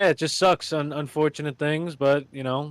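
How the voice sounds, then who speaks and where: A man with an ordinary speaking voice and a fairly high pitch talks at a fairly slow pace, his dry, close sound carrying no echo over a silent background in a very clean recording. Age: 20s. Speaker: podcast host. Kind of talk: casual chat.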